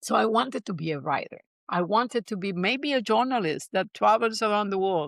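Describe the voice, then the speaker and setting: A woman with a Spanish accent speaks at a fairly quick pace, her medium pitch varying in an ordinary way. The recording is very clean with a silent background, and the sound is dry and close with no echo. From Puerto Rico. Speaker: neuroscience-based coach and business founder. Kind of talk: interview storytelling.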